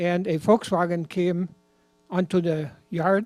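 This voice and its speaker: Music plays in the background behind a man with a high pitch. He speaks in a monotone, flat intonation, with a dry, close sound and no echo. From Germany, rural. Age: 80s+. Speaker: former Hitler Youth member telling his story. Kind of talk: personal testimony.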